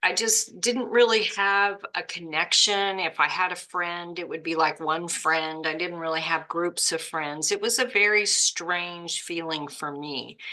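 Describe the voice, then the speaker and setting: A woman with an American accent speaks in an unremarkable speaking voice at a fairly slow pace. Her pitch is fairly low, with ordinary variation. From Oklahoma, US. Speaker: podcast host. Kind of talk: casual chat.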